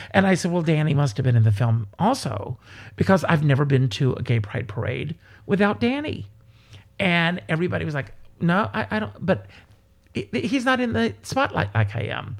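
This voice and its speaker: With an American accent, a man speaks at a moderate pace in a fairly high, somewhat breathy voice that swings very widely in pitch. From South Carolina, US. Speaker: entertainer and performer. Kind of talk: casual interview chat.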